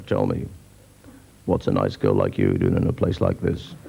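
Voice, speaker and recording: A man puts on a gravelly character voice at a very deep, low pitch. He speaks at a moderate pace. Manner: cheesy, unoriginal pick-up line delivery.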